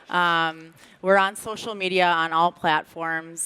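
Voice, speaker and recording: A woman's fairly low voice with a bright, sharp tone and a Minnesotan accent, on a very clean recording with a silent background. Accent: Minnesota. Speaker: brand content director. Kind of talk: panel discussion. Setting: stage with audience.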